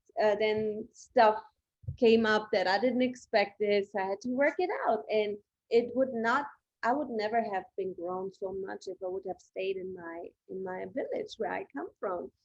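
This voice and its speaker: Speaking with a German accent, a woman uses a fairly high voice that makes big swings in loudness. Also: ordinary pitch variation, fairly slow pace. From Germany. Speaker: podcast host. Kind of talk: podcast interview.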